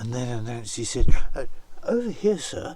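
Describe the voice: The delivery is plain reading aloud.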